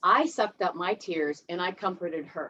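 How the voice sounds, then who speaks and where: A woman with a Midwestern US accent talks at a moderate pace. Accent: US Midwest. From Ohio, US Midwest. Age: 50s. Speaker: recovering alcoholic speaker at a 12-step meeting. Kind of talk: personal testimony. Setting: video call.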